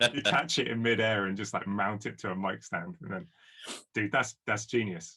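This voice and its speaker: Bright and sharp in tone, a man with a southern English accent speaks at a fairly low pitch. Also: lively intonation, moderate pace. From southern England. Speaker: guitarist and producer. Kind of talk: casual chat.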